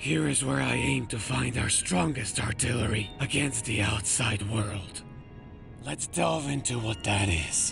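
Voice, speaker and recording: Over loud music in the background, a man uses a put-on character voice at a fairly low pitch and a fairly slow pace. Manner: grandiose, preachy.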